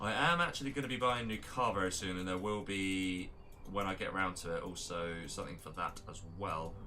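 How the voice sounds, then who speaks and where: A man with an English accent and a fairly low voice talks at a fairly quick pace amid noticeable background noise and audible room echo. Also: ordinary pitch variation. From England. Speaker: game tournament caster and streamer. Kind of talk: live game commentary mixed with casual chat. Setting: live stream. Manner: casual, with many fillers and repetitions.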